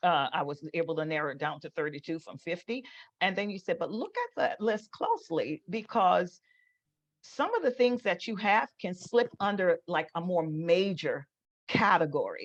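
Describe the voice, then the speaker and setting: A woman speaks at a moderate pace and medium pitch with lively intonation. The sound is dry and close, with no echo. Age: 60s. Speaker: ordained minister and motivational speaker. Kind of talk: casual interview. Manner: halting, many fillers and repeats.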